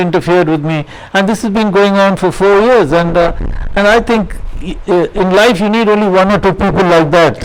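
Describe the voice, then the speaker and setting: A man with a high pitch talks at a fairly quick pace with ordinary pitch variation, with noticeable background noise and audible room echo. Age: 70s. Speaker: social worker. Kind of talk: lecture. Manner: halting.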